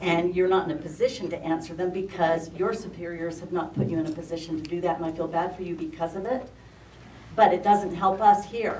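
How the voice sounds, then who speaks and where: A woman talks at a fairly low pitch with fairly even intonation. Noticeable background noise and audible room echo surround her voice. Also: fairly quick pace, big swings in loudness. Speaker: member of the public commenting. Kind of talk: public comment at meeting.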